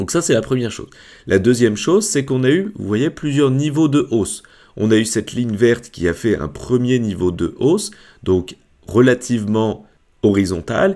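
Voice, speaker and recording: In a very clean recording with a silent background, a man speaks at a moderate pace and medium pitch, his dark, mellow tone moving through very wide pitch swings. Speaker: crypto investment youtuber. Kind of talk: market analysis tutorial.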